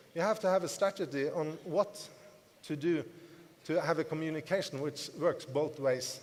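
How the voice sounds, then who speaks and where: Ordinary pitch variation marks speech that proceeds at a moderate pace. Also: man. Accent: non-native. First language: not English. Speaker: network marketing distributor, motivational speaker. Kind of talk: business seminar talk to audience. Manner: repetitive, emphatic.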